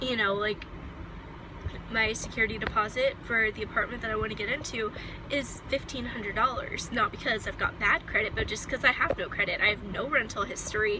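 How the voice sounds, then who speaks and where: Against noticeable background noise, a woman talks at a fairly quick pace in a fairly high pitch with fairly even intonation. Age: 20s. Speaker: vlogger. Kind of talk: personal vlog monologue. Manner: casual, with many fillers.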